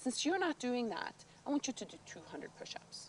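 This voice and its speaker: Fairly quick speech in a Norwegian accent. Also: woman. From northern Norway, island of Andøya. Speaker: documentary interviewee. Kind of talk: personal testimony. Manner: halting, many fillers.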